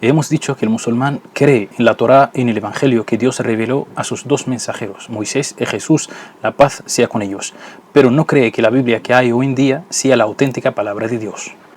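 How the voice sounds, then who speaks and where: Against noticeable background noise, a man with a non-native accent and a medium pitch talks at a moderate pace with fairly even intonation. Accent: foreign accent in Spanish. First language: not Spanish (speaking Spanish). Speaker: Islamic religious educator. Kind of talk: educational video lecture.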